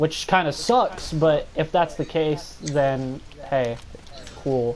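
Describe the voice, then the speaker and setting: Very slow speech comes through with noticeable background noise. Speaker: podcast co-host. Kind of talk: casual chat. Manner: animated.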